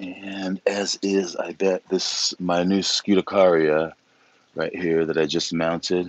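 A man's very deep, low voice, monotone and flat, at a very slow pace, dry with no echo. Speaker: orchid grower and video creator; video creator. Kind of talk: casual live-stream walkthrough. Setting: outdoors in the rain. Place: garden. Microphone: phone near.

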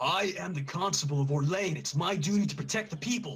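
Put-on character voice, fairly quick. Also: man, fairly high pitch for a man. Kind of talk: public proclamation. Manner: righteous, commanding.

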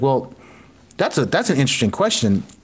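This is a man talking. He has an American accent. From US South, South Florida (Broward County); Florida. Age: 50s. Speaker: composer and violinist; guest. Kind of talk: casual chat. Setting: video call.

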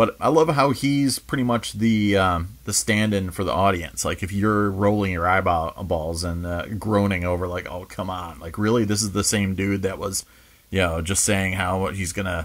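The man has a very deep, low voice with ordinary pitch variation. He speaks with hardly any pauses. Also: moderate pace. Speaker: video reviewer. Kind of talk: review commentary. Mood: enthusiastic, relaxed. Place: home room.

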